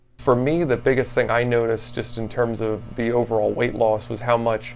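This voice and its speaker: The man's voice sits at a medium pitch, delivered in a flat monotone. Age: 30s. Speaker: weight loss client, amateur volleyball player. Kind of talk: testimonial interview. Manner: casual, many fillers and repetitions.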